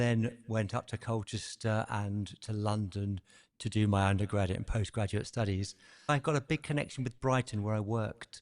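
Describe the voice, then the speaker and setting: A man with a British accent, fairly low in pitch, at a moderate pace with fairly even intonation, in a dry, close sound with no echo and a quiet background. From southern England. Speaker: wellness podcaster, former musician. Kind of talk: interview conversation.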